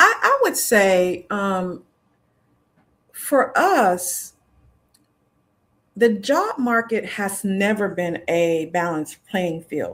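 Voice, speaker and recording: Very slowly, a woman speaks with long, frequent pauses. Her pitch variation is ordinary. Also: medium pitch for a woman. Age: 60s. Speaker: career coach. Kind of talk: panel discussion.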